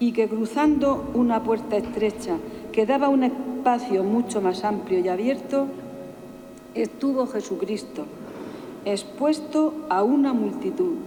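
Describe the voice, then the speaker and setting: Over noticeable background noise, a woman with a high pitch speaks fairly slowly in a solemn tone, with ordinary pitch variation and very even loudness. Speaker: pregonera (Holy Week proclaimer). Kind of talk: personal first-person reflection on a pilgrimage to Jerusalem. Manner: emotional, solemn.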